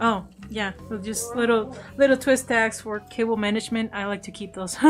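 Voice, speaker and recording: A woman's fairly high-pitched voice with a non-native accent. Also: moderate pace, big swings in loudness. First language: not English. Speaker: streaming artist. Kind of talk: casual livestream chat. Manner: animated.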